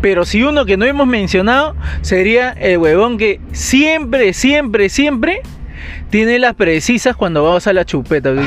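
Noticeable background noise sits behind a man speaking at a high pitch and a fairly slow pace. His pitch swings very widely while his loudness stays very even. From Peru, Lima. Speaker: podcast co-host. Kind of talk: casual chat. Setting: recording studio.

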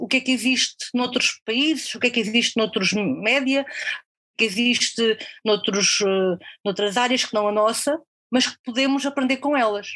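Fairly even intonation at a moderate pace. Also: woman. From Portugal, near Coimbra. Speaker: freelance copywriter. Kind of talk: interview conversation. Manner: halting, many repetitions and fillers.

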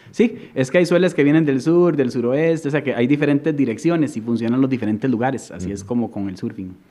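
With a Costa Rican accent, a man speaks in a dark, mellow tone at medium pitch. He goes at a very fast pace with lively intonation and hardly any pauses. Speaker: surfer and artist. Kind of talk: casual chat.

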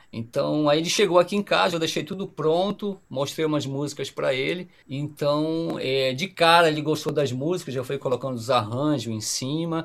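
With hardly any pauses, a man speaks at a moderate pace in a fairly high pitch, using a normal speaking voice. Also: ordinary pitch variation. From Pará, northern Brazil. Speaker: musician, guitarist and singer-songwriter. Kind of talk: casual podcast interview.

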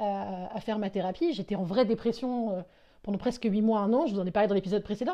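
Against a quiet background, a woman with a dark, mellow tone and a fairly high pitch speaks at a very fast pace. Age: 20s. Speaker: solo podcaster. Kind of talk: personal monologue. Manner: halting, with frequent fillers and repetitions.

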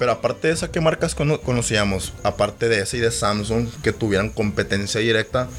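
Fairly quick delivery with hardly any pauses, over noticeable background noise. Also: man. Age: 20s. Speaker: podcast co-host. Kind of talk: casual chat. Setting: studio.

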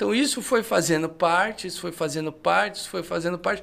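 In a very clean recording with a silent background, a man speaks with a high pitch. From Brazil, interior of São Paulo state. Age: 30s. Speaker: theology teacher. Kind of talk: casual podcast chat.

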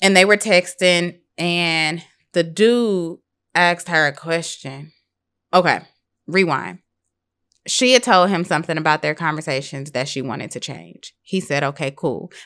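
Against a quiet background, a woman talks at a fairly slow pace, her fairly low pitch moving with ordinary variation. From US Midwest, St. Louis, Missouri. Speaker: behavior analyst in training. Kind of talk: casual chat.

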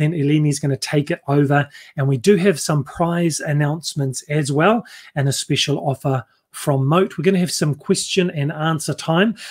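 A somewhat breathy man speaks at a moderate pace with a fairly high pitch and ordinary pitch variation. The sound is dry and close, with no echo. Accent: New Zealand. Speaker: webinar host. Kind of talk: live webinar presentation. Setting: video call, livestream.

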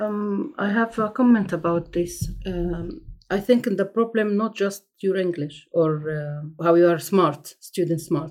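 A woman with an Egyptian accent speaks at a medium pitch and a fairly slow pace. She leaves hardly any pauses. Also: ordinary pitch variation. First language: Arabic. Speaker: asylum seeker. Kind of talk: personal testimony. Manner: halting.

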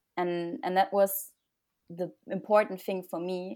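Speaking at a fairly slow pace with a German accent, the voice comes through on a very clean recording against a silent background. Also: woman. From Germany. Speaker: graduate student. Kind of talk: casual interview.

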